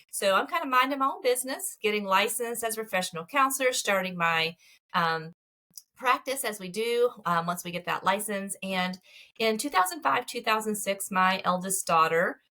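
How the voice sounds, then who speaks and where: A woman speaks with a Southern US accent at a medium pitch. Her tone is bright and sharp, and her intonation is lively. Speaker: marriage therapist. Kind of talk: interview. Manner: fast.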